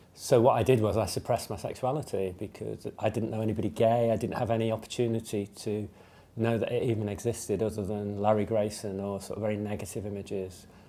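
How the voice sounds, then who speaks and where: In an English Midlands accent, a man talks very fast in a fairly low voice with a dark, mellow tone. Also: fairly even intonation. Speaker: LGBT community member sharing experience. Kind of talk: testimony. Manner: hesitant, many fillers.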